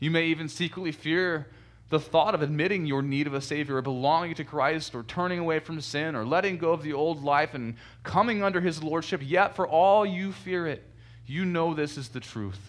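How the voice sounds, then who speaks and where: A man with an unremarkable speaking voice, fairly high pitch, ordinary pitch variation and a fairly quick pace. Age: young. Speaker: pastor. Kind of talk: sermon.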